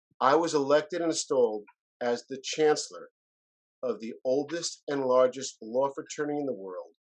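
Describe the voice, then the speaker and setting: Using a plain, everyday voice, a man with a fairly high pitch speaks at a moderate pace with ordinary pitch variation and big swings in loudness. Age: 60s. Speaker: lawyer and business consultant. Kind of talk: interview conversation.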